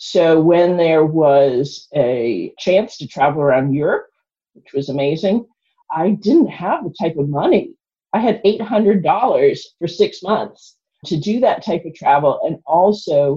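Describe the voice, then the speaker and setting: In an American accent, a woman with a fairly low, somewhat breathy voice and a dark, mellow tone speaks at a fairly slow pace. Her intonation is lively and her loudness swings widely. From South Boston, US. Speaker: philanthropy founder and lottery player. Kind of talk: casual interview conversation.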